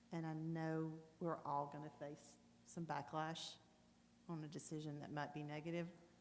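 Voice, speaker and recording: With audible room echo, a woman with a very deep, low voice and a Southern US accent speaks in a monotone, flat way, leaving long, frequent pauses. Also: moderate pace. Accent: US South (Tennessee). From Tennessee (Goodlettsville area). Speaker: city commissioner. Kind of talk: public meeting discussion.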